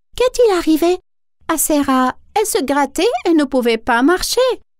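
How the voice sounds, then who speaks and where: In a cartoonish character voice, a woman speaks at an extremely high pitch with a gentle tone, very wide pitch swings, very even loudness and a moderate pace. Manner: gentle, sweet.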